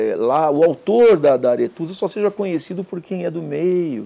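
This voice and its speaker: Fairly high-pitched for a man, his dark, mellow voice moves fairly slowly with lively intonation. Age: 50s. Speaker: art authentication expert and professor. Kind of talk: interview.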